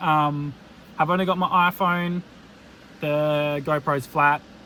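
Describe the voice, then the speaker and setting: Over noticeable background noise, a loud man with an Australian accent speaks at a fairly slow pace. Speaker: fishing vlogger. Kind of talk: casual vlog narration. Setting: in a car; outdoors on a beach at night. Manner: animated.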